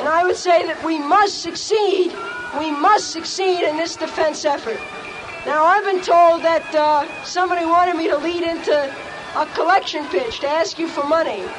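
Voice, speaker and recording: Music plays in the background as a woman speaks at an extremely high pitch. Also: ordinary pitch variation, moderate pace. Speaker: activist and indicted protester's mother. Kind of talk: rally speech. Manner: defiant, impassioned.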